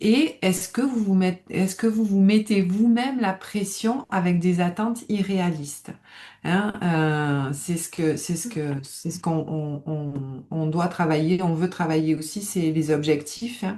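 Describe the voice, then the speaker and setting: In a southern French accent, the speaker uses a dark, mellow tone that is somewhat breathy, moving at a very slow pace with ordinary pitch variation. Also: woman, fairly low pitch for a woman. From southern France, Nice area. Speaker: stress management coach, former psychiatric nurse. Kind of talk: live webinar presentation. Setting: online webinar.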